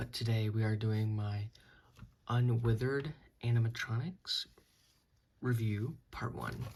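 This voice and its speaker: A quiet, somewhat breathy man at medium pitch, fairly slow pace and fairly even intonation. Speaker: toy customizer reviewing own figures. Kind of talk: product review. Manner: halting, many fillers.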